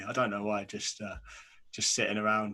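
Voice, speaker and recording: This man has a fairly low voice and a British accent. He speaks at a moderate pace. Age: 20s. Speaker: podcast host. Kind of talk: casual chat.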